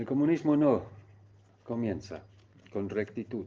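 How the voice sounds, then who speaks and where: A man with a German accent, a dark, mellow tone and ordinary pitch variation. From East Germany. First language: German (speaking Spanish). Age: 70s. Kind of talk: testimony. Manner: halting.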